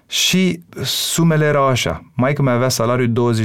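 The man's speech has ordinary pitch variation. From Romania, Bucharest. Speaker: singer and songwriter. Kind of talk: casual interview.

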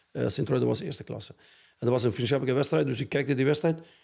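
A man speaks with an Albanian accent. His pace is very fast. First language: Albanian (speaking Dutch). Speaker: football coach. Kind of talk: interview. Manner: halting.

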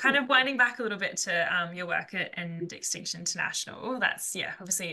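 In an Australian accent, a woman speaks at a fairly quick pace with ordinary pitch variation amid noticeable background noise. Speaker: podcast co-host. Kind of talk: interview.

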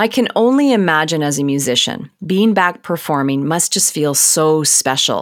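Lively intonation marks a woman's very deep, low voice. She keeps a moderate pace. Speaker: podcast host. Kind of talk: scripted narration and interview.

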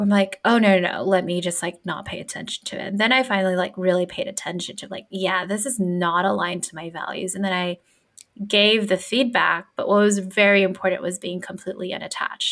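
Speaking at a fairly quick pace, a woman has an unremarkable speaking voice at medium pitch. Her intonation stays fairly even. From US, Filipino immigrant family. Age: 30s. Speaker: business and career coach. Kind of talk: casual chat.

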